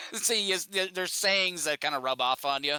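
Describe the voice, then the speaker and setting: A man's bright, sharp tone with an Upper Midwest accent, on a very clean recording with a silent background. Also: dry, close sound with no echo. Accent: Upper Midwest American. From Minnesota. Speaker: podcast guest. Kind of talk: casual chat. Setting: live stream podcast.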